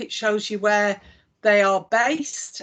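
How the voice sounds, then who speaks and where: In a Lancashire accent, a woman speaks at a fairly high pitch. The background is quiet. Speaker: chief executive of an employment support body. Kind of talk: live software demonstration.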